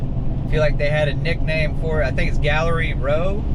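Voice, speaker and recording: The speaker has a relaxed tone and a slight Southern US accent, with noticeable background noise and audible room echo. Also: man. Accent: Southern country twang, slight. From US South, North Carolina. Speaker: driving vlogger. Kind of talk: casual driving commentary. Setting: in a car. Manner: relaxed, conversational. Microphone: built-in camera mic.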